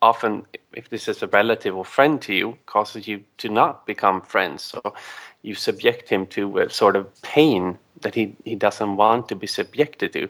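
A man with a Swedish accent, moderate pace and ordinary pitch variation. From Sweden. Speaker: caller. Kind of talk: call-in discussion. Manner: halting.

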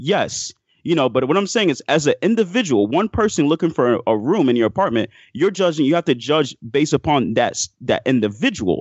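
This man talks at a fairly quick pace with a fairly high pitch and very wide pitch swings. His loudness stays very even. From Miami, Florida (born in Haiti). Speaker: caller. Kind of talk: casual chat.

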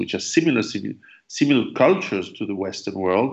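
A man speaks with a French accent. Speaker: survivalist author and interviewer. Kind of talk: interview. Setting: call.

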